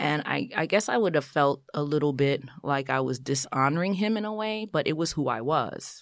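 A woman speaks at a moderate pace with a New York accent and hardly any pauses. Her pitch is very deep and low, and her intonation is lively. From New York City (Brooklyn/Queens), Haitian American family. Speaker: physician assistant and TV writer-creator. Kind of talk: casual interview.

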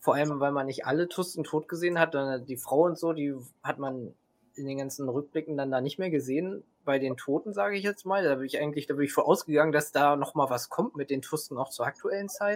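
A man's very fast delivery, with ordinary pitch variation. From Hannover region, northern Germany. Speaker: Star Wars cosplayer. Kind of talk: casual chat.

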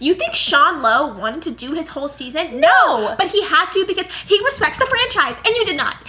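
A woman with an extremely high pitch and an animated tone, her voice raised and projected, at a fairly quick pace with very wide pitch swings, over noticeable background noise. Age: 20s. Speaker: podcast co-host. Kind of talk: casual chat. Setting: sitting on a bed with roommate present. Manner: fast.

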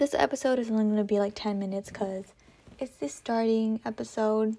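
On a very clean recording with a silent background, a woman speaks in a fairly high pitch with an American accent and fairly even intonation. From California. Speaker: podcast host. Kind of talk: casual solo monologue. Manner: rambling, filler-heavy.

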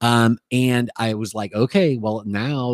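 The very clean recording with a silent background carries a man's normal speaking voice and fairly even intonation. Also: dry, close sound with no echo. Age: 50s. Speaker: podcast host and musician. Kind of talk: casual chat. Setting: home recording studio.

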